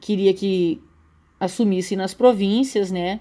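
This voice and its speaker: A woman's medium-pitched voice with a dark, mellow tone and fairly even intonation, on a very clean recording with a silent background. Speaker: school teacher. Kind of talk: recorded slide lecture. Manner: halting, many fillers and repetitions.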